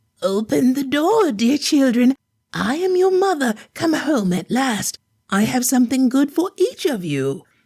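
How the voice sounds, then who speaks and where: At a moderate pace, a female-sounding voice does a put-on character voice pitched high. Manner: soft, sweetly deceptive.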